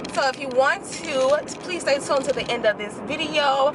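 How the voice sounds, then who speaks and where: Speaking in an animated tone at a high pitch, a woman is heard over noticeable background noise. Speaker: nurse and beauty/lifestyle vlogger. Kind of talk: casual vlog monologue. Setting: in a car on the way to work.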